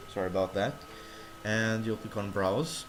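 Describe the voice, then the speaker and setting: Noticeable background noise sits behind the speech. A man talks at a fairly low pitch. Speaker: tech tutorial youtuber. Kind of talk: screen-recorded tutorial. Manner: halting, self-correcting.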